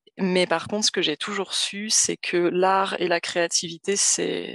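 A woman speaks fairly slowly, her fairly low voice flat and monotone. The sound is dry and close with no echo, over a quiet background. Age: 30s. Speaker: social worker recovering from burnout. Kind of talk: personal testimony in interview. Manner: halting, many hesitations.

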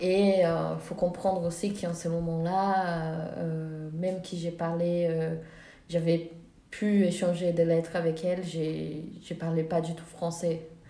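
A woman's very slow, fairly low voice with a dark, mellow tone, monotone, flat intonation, and audible room echo. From Brazil. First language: Portuguese (speaking French). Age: 20s. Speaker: film director and student. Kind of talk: interview. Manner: hesitant, many fillers.

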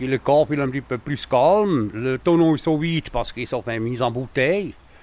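A man's voice at a fairly slow pace, with ordinary pitch variation. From German-speaking Switzerland. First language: Swiss German (speaking French). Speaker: cooper. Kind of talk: interview. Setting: workshop.

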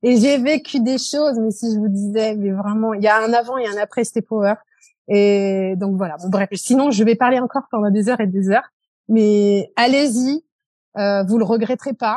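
A woman's fairly high voice, dark and mellow, with ordinary pitch variation, dry and close with no echo against a quiet background. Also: moderate pace. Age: 40s. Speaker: beautician running her own salon. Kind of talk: testimony.

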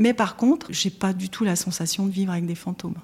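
This woman has an unremarkable speaking voice, talking at a fairly quick pace and a medium pitch. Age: 50s. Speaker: secondhand shop owner. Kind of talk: interview testimony.

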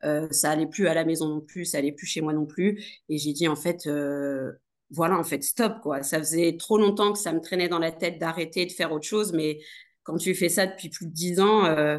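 A woman's fairly low voice with fairly even intonation, against a quiet background. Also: moderate pace. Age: 30s. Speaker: nurse turned entrepreneur. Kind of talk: casual interview. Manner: hesitant, many fillers.

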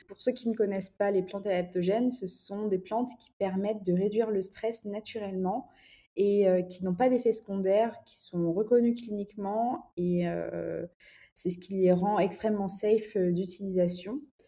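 The tone is dark and mellow, the intonation fairly even, and the loudness swings widely. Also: woman, medium pitch for a woman, fairly slow pace, very clean recording, silent background. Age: 20s. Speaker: entrepreneur and art director. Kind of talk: casual interview chat.

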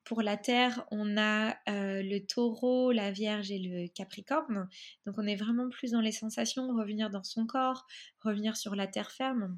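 Over a quiet background, a woman talks in a plain, everyday voice, fairly high in pitch, at a fairly slow pace with fairly even intonation. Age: 30s. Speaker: photographer and astrologer. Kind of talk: interview.

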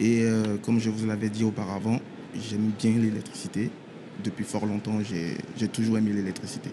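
A man's medium-pitched voice moves along at a moderate speed. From Ivory Coast. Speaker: electrician apprentice. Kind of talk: radio interview. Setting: trade show floor.

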